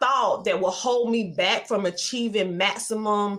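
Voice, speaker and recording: A woman speaks at a very slow pace, her pitch in the medium range. Her pitch varies in an ordinary way. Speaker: media entrepreneur and educator. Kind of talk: interview.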